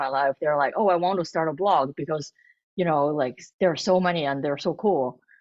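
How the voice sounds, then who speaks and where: With a Chinese accent, a woman talks in a lively, varied intonation. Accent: Mandarin Chinese. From northern China, Beijing. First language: Mandarin Chinese. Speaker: food blogger and cookbook author. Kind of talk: interview. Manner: halting, many false starts.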